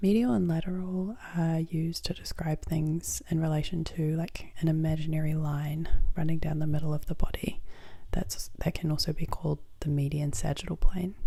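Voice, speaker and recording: This voice is soft-spoken with a gentle tone. It moves at a moderate pace. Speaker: ASMR creator; student. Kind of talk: ASMR educational tutorial. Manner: soft-spoken, gentle.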